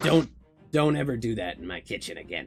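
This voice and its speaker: Over music in the background, a man performs a put-on, raspy character voice at a medium pitch for a man, moving at a fairly quick pace with very wide pitch swings. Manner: angry, scolding.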